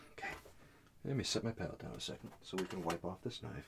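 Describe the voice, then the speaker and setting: A soft-spoken man with a calm tone, a very deep, low pitch and a moderate pace. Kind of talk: oil painting tutorial narration, soft-spoken ASMR style. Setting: studio, painting at an easel. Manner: soft-spoken, calm, friendly.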